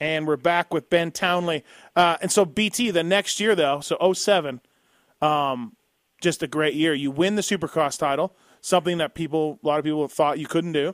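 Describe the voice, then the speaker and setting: A man with a normal speaking voice talks at a moderate pace, his pitch fairly high and its variation ordinary. The sound is dry and close with no echo, in a very clean recording with a silent background. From Canada. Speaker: podcast host. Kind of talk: interview.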